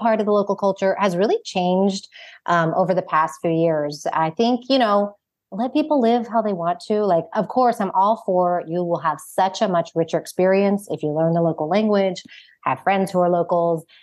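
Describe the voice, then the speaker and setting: An ordinary speaking voice from a woman with an American accent, medium in pitch, at a moderate pace with lively intonation over a quiet background. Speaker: founder and author. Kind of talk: casual interview chat.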